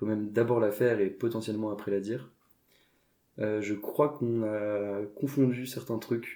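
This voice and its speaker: A man's dark, mellow, fairly low voice at a fairly slow pace, with fairly even intonation. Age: 20s. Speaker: entrepreneur. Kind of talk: podcast interview. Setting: at the host's home. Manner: hesitant, many fillers.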